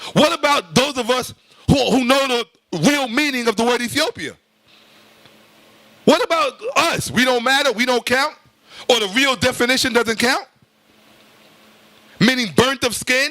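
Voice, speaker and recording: With an animated tone, a man uses a raised, projected voice at an extremely high pitch, broken by long, frequent pauses. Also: ordinary pitch variation, moderate pace. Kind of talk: lecture.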